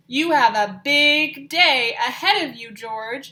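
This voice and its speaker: A woman puts on a character voice, high in pitch and lively in intonation, delivered at a fairly slow pace. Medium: read story. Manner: warm, reassuring.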